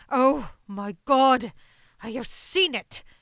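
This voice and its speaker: In a put-on character voice, a woman sounds husky and high-pitched, with lively intonation. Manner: groaning, horrified.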